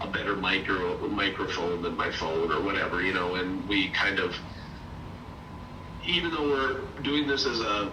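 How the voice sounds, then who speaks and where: Noticeable background noise and audible room echo surround a man with a fairly low pitch who talks at a moderate pace with lively intonation, very even loudness, and long, frequent pauses. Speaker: property management mentor. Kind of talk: mentoring call.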